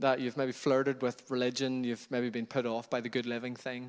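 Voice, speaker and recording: A man speaks with a Northern Irish accent at a moderate pace and medium pitch. The background is quiet. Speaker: pastor. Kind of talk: sermon.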